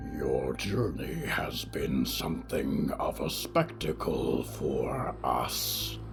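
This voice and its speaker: A man's put-on character voice at a very slow pace over loud background music. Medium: read story. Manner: wry, measured, speaks as a collective "we".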